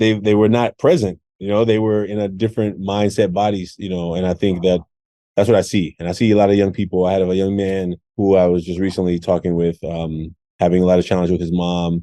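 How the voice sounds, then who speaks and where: A man in an American accent speaks with a very deep, low pitch and monotone, flat intonation. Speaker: podcast host and educator. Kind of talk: podcast conversation.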